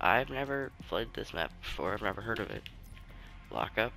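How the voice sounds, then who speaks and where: Music can be heard in the background. A man talks fairly quickly over it. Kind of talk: casual gameplay commentary.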